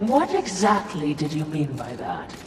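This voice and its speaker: Put-on character voice at a middle pitch and moderate pace, with a slight echo and clear background noise. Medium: video game. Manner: dry, deferential.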